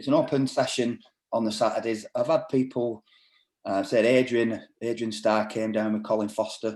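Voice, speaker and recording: The speaker has a northern English accent and a moderate pace. The intonation is monotone and flat. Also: man, medium pitch for a man. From northern England. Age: 50s. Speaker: martial arts instructor and doorman. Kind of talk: casual chat.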